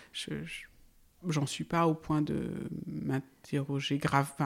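A woman talks in a very deep, low voice. The recording is very clean, and the background is silent. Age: 40s. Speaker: farmer. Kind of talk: interview.

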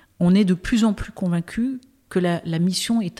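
A woman's somewhat breathy, fairly low voice has a dark, mellow tone, a moderate pace and a dry, close sound with no echo. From Brittany, France. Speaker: impact investor. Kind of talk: interview conversation.

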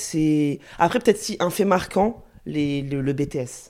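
With an ordinary speaking voice, a woman talks at a fairly slow pace and fairly low pitch with lively intonation, on a very clean recording with a silent background. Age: 30s. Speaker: specialized educator and young mother. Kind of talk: casual chat. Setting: at the host's home.

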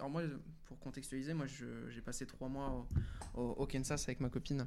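Audible room echo surrounds a man's voice. He speaks at a moderate pace and a fairly high pitch. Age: 20s. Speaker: freelance web marketer. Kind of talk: casual interview. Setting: live stream with chat.

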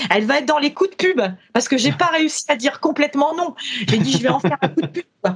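A woman with a high voice talks very fast, her pitch swinging very widely. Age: 50s. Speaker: company founder and training consultant. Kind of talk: interview.

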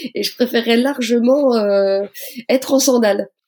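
A woman's high-pitched voice, dark and mellow in tone, at a fairly slow pace with ordinary pitch variation. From Lorraine, France (Moselle, near Metz). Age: 40s. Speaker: police officer and amateur runner. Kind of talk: podcast interview.

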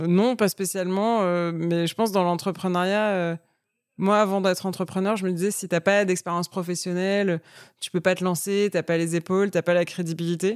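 A woman talks at a moderate pace at medium pitch with monotone, flat intonation. The recording is very clean and dry, close with no echo over a silent background. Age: 30s. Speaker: entrepreneur. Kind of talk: casual chat.

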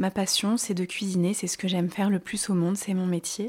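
With fairly even intonation, a woman's somewhat breathy voice comes through. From France, Grenoble (Alps). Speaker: chef. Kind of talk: interview.

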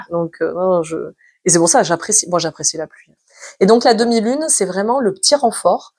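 With a medium pitch, a woman speaks with lively intonation and big swings in loudness. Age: 40s. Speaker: meditation teacher and business owner. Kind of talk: casual interview chat. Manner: fast, energetic.

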